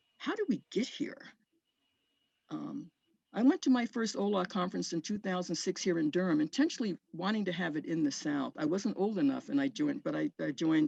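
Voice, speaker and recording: An American-accented woman with a medium-pitched, dark, mellow voice and vocal fry talks at a fairly quick pace with very wide pitch swings, in a dry, close sound with no echo against a quiet background. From upstate New York. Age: 70s. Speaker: activist. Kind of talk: reflective talk to a video call group. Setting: video call. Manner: halting, repeating words.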